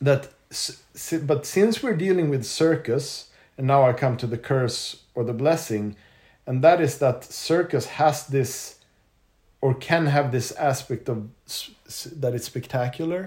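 Pausing long and often, a man with a fairly high pitch speaks in a somewhat breathy voice. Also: ordinary pitch variation, moderate pace. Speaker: circus performer. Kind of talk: casual chat. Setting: recorded on location in Denmark.

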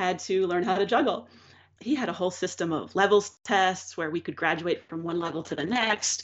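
A woman with an unremarkable speaking voice, medium in pitch, with ordinary pitch variation at a fairly quick pace. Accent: American. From Pennsylvania, Philadelphia suburbs. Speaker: juggler and keynote speaker. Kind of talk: casual interview.

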